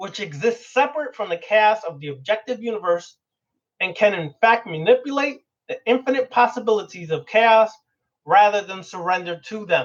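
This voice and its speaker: This man's voice sits high and his intonation is lively. His loudness swings widely from moment to moment. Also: moderate pace. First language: Spanish. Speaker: occult teacher. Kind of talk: lecture. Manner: animated.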